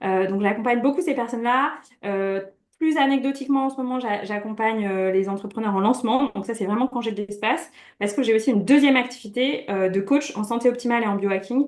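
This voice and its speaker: A woman talks at a very fast pace. Her pitch is fairly high with ordinary variation. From France, Brittany. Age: 30s. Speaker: coach. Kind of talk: interview.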